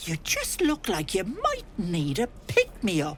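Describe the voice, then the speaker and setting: A put-on character voice moves at a fairly slow pace. Background noise is clear. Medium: video game. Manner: fussy, folksy, doting.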